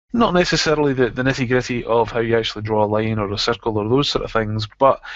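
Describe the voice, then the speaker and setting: Speaking very fast in a Scottish accent, a man keeps his medium pitch fairly even. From Scotland. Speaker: software trainer. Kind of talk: tutorial.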